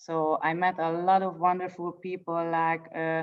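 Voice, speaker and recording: The speech has a Hungarian accent. It moves at a fairly slow pace. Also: woman. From Hungary. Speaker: poet. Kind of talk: introduction before reading. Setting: video call. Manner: halting.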